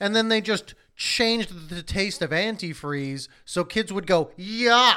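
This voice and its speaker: A man's raised, projected voice at a fairly slow pace, with ordinary pitch variation. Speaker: podcast co-host. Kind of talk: casual chat.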